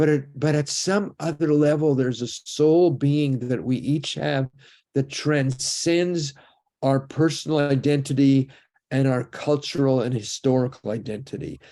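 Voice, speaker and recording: Speaking at a fairly slow pace, a man with a fairly high pitch has a dark, mellow tone and fairly even intonation. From Canada. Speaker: rabbi and lecturer on the afterlife. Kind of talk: lecture.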